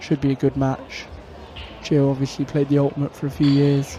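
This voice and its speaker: Noticeable background noise sits under a man talking at a moderate pace in a fairly high pitch. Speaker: pool commentator, player. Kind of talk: live commentary. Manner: casual, chatty.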